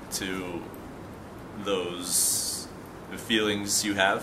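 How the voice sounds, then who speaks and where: A man speaks very slowly at a fairly low pitch in a monotone, flat intonation over noticeable background noise. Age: 20s. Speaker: patient in addiction treatment. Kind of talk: testimony. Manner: halting, many fillers and repetitions. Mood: calm, reflective, subdued. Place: garden. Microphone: camera far.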